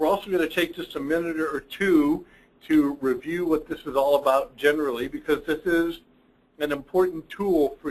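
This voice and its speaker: The speaker has a plain, everyday voice. Delivery is at a moderate pace with fairly even intonation. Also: man. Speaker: accounting firm partner presenting reports. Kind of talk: webinar presentation. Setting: online webinar.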